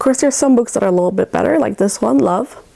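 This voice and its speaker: A woman's fairly high voice swings very widely in pitch over noticeable background noise. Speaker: children's book reviewer, Montessori teacher. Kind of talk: book review vlog.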